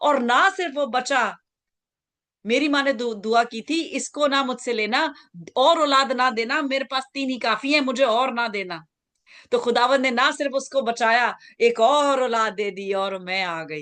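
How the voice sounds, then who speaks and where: A woman's high, lively voice, bright and sharp in tone, against a quiet background. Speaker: pastor. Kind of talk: sermon.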